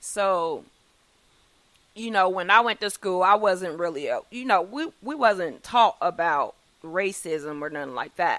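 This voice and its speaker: With lively intonation and big swings in loudness, a woman with a medium-pitched voice speaks fairly slowly on a very clean recording with a silent background. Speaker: podcast host. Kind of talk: casual chat.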